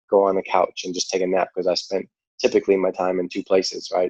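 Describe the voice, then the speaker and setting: A man with a New York accent speaks fairly quickly in a fairly low, dark, mellow voice, recorded with a dry, close sound and no echo. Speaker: cancer survivor and charity founder. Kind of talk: podcast interview.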